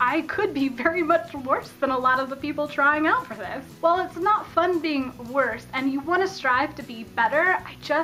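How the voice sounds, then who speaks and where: An enthusiastic woman with an American accent speaks in a raised, projected voice, high-pitched, with ordinary pitch variation and big swings in loudness. Her pace is moderate with hardly any pauses, over light background noise. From Colorado. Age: 20s. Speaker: YouTuber. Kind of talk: casual talk to camera. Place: home room. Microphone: phone near.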